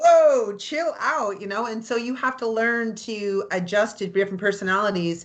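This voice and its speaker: A woman with a Canadian accent speaks at a moderate pace in a fairly high voice, with ordinary pitch variation and an animated tone. She hardly pauses, and the background is quiet. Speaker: real estate agent and anthem singer. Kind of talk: interview chat. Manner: loud.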